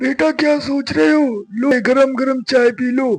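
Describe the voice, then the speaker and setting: Putting on a character voice, a man talks at a moderate pace in an extremely high, shaky pitch with ordinary pitch variation. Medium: read story. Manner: falsely friendly.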